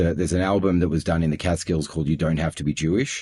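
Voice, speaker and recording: The speaker has an Australian accent. The intonation stays fairly even. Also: man. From Australia (Melbourne). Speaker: audio production executive. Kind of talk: interview conversation. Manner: hesitant, many fillers.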